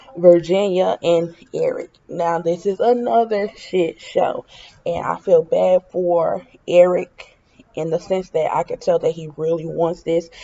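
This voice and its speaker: A woman speaks fairly slowly over noticeable background noise. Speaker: reality TV commentator. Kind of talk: casual opinion vlog.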